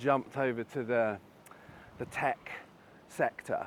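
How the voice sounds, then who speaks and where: A man speaks with a British accent. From Britain. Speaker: advertising and tech executive. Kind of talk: interview.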